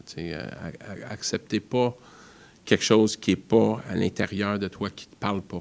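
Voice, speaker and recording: With an English accent, a man speaks at a fairly slow pace. His pitch is fairly low and his intonation fairly even. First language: English (speaking French). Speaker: foundation founder. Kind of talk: interview. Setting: studio.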